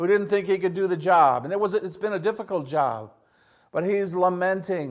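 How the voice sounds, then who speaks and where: A man talks with a Michigan accent. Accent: Midwestern American (Michigan). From Michigan, Detroit area. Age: 60s. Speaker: pastor. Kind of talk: sermon. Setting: church service, recorded for online viewers. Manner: halting, with frequent fillers and repeats.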